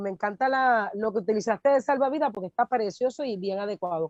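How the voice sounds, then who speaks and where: With a plain, everyday voice, a woman with a fairly high pitch speaks at a fairly quick pace and with lively intonation, in a dry, close sound with no echo. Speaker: pastor and workshop co-presenter. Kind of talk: workshop training talk.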